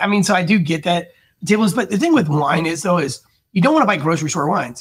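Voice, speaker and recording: Against a quiet background, the voice moves at a very fast pace with an animated tone and lively intonation. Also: man. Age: 40s. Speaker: sommelier and podcast host; podcast host. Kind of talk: casual chat. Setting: studio. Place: home room. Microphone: studio mic.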